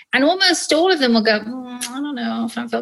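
A woman with an English accent swings very widely in pitch. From England and Ireland. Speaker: physician, radiologist. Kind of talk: casual interview.

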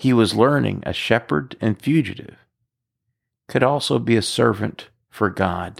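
Very clean and silent in the background, the recording has a man with vocal fry speaking at a fairly slow pace, with lively intonation and very even loudness. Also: medium pitch for a man. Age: 50s. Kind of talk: scripted narration.

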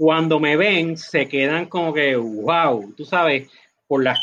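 A man's fairly high-pitched voice. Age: 40s. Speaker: company executive. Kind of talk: interview.

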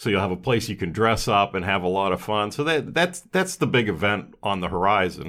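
A man with a normal speaking voice, fairly low in pitch, at a fairly quick pace in a very clean recording with a silent background. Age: 60s. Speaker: restaurant owner. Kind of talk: casual interview. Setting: podcast studio.

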